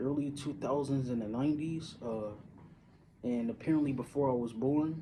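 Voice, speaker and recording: With a dark, mellow tone and an American accent, a man speaks at a moderate pace in a fairly high pitch, his intonation fairly even, with audible room echo. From Syracuse, upstate New York. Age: 30s. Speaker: vlogger. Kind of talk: casual monologue. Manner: halting, many fillers.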